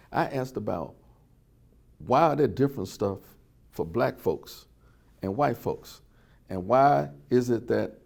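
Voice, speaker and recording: A man with an Alabama accent speaks at a fairly slow pace in a medium-pitched, dark, mellow voice with vocal fry and lively intonation. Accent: Southern US (Alabama). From US South, Birmingham, Alabama. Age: 70s. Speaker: oral history interviewee, civil rights witness. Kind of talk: oral history testimony.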